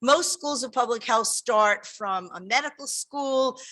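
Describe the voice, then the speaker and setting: A woman's bright, sharp tone at a moderate pace, on a very clean recording with a silent background. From New York. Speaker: public health dean. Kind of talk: welcome speech. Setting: in-person event with audience, live-streamed. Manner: animated.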